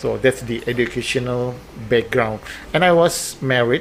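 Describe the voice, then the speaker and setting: A man talks with an Indonesian accent over noticeable background noise. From Indonesia, West Java (Bandung). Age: 50s. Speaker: air force base commander. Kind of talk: podcast interview. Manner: halting.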